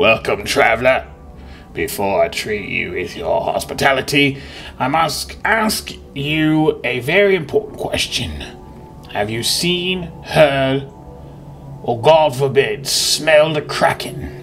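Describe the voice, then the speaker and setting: A man speaks in a put-on character voice with fairly high pitch. His pace is fairly slow, and there is clear background noise. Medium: game stream.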